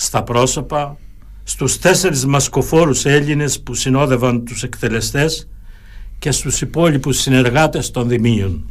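A man talks at a fairly slow pace in a normal speaking voice. His pitch is medium, with ordinary pitch variation. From Crete, Heraklion area. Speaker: lawyer and local historian. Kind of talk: radio interview. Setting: studio. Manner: formal.

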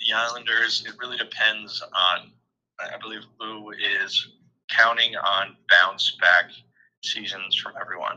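A man speaks with an American accent at a fairly slow pace, leaving long, frequent pauses. His loudness swings widely. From New York. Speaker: podcast guest, fantasy sports player. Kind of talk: casual chat. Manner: halting, many repeated words.

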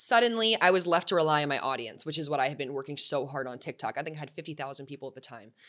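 A woman talks at a very fast pace with hardly any pauses, her very deep, low voice carrying an American accent, a bright, sharp tone, lively intonation and big swings in loudness. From Arizona, US. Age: 20s. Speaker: startup founder. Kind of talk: casual chat.

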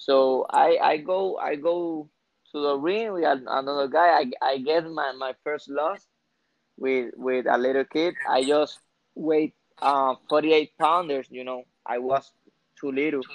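This man speaks with a Spanish accent at a fairly slow pace. His intonation stays fairly even. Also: fairly high pitch for a man. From Puerto Rico, Aguadilla. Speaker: professional boxer. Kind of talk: casual interview. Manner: halting, repeats words.

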